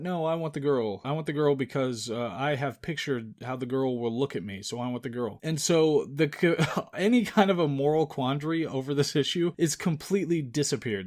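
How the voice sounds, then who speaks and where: A man with an unremarkable speaking voice talks at a fairly quick pace, his pitch fairly high. His intonation is lively, in a very clean recording with a silent background. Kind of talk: movie review commentary podcast, casual talk to camera.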